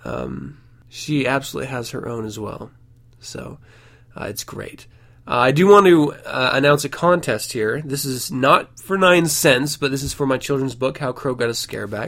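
A man speaks at a moderate pace with a medium pitch, ordinary pitch variation and vocal fry. His loudness swings a lot. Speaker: podcast host. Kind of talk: casual podcast monologue.

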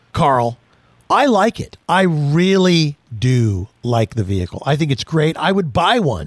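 In a dry, close recording with no echo, a man with a fairly high pitch swings his voice very widely. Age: 60s. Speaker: automotive radio host. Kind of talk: casual chat.

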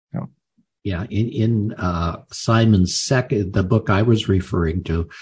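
Against a quiet background, a man speaks at a fairly low pitch and a fairly slow pace. His voice is somewhat breathy, with ordinary pitch variation. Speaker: podcast host. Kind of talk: interview.

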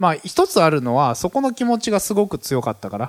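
A man speaks with very wide pitch swings, recorded with a dry, close sound and no echo. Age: 30s. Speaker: business community leader, entrepreneur. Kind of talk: solo podcast talk. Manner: many fillers, hesitant.

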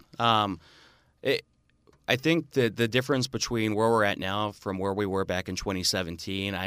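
A man speaks with a fairly low pitch, ordinary pitch variation and an Upper Midwest accent. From northern Wisconsin (Marinette). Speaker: state senator. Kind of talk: radio interview. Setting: radio studio.

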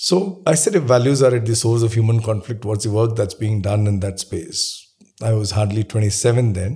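A man with a dark, mellow tone, somewhat breathy, speaks at a moderate pace. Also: medium pitch for a man, ordinary pitch variation. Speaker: management author and entrepreneur. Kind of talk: interview.

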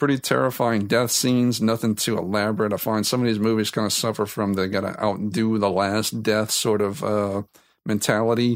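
The speaker talks at a fairly quick pace with an American accent, fairly even intonation and very even loudness. The recording is very clean, with a silent background. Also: man, fairly low pitch for a man. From South Louisiana. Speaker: podcast host. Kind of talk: solo podcast monologue.

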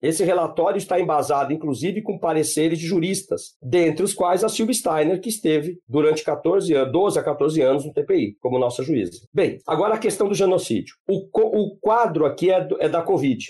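A man with a high pitch and a dark, mellow tone talks at a moderate pace with lively intonation and hardly any pauses. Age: 50s. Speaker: law professor and genocide researcher. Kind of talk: podcast interview.

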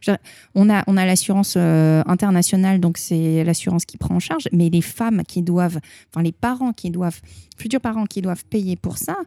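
On a very clean recording with a silent background, a woman's dark, mellow tone comes across dry and close with no echo. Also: fairly low pitch for a woman, ordinary pitch variation, moderate pace. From France. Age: 30s. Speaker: opera singer. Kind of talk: interview. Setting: Japan. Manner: talkative.

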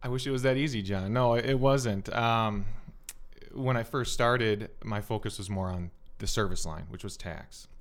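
A man at medium pitch with an Upper Midwest accent, in audible room echo. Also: ordinary pitch variation, moderate pace. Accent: Upper Midwest American. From Minnesota, South Metro. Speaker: accountant. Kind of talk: podcast interview.

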